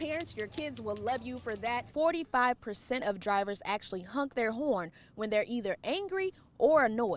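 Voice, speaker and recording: Speaking at a moderate pace, a woman with a fairly high pitch shows vocal fry. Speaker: TV news reporter. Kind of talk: on-camera standups and voiceover news clips.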